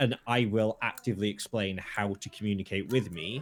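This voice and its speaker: In a very clean recording with a silent background, a man talks with fairly even intonation at a fairly low pitch. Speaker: podcast co-host. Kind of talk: casual chat. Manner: rapid when stressed.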